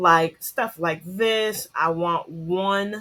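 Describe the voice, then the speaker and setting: Bright, sharp tone at a very slow pace, with fairly even intonation. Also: woman, very clean recording, silent background. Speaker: teacher. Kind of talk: tutorial. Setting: screen-share recording. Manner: casual, self-correcting, thinking aloud.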